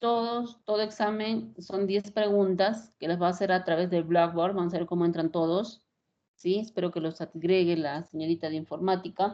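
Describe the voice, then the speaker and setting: This woman has an ordinary speaking voice, medium in pitch, with ordinary pitch variation at a moderate pace. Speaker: radiologist and university lecturer. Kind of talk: lecture.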